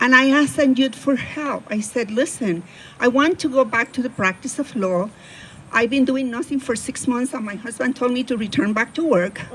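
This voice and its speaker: A woman with a strong Spanish accent at a high pitch and moderate pace, with ordinary pitch variation and noticeable background noise. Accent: heavy Spanish. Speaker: attorney. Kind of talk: personal storytelling talk.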